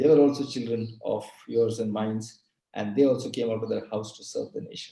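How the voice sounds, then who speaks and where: The voice is somewhat breathy, with a dark, mellow tone and a moderate pace. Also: man. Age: 60s. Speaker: retail industry expert. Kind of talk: talk in a webinar session.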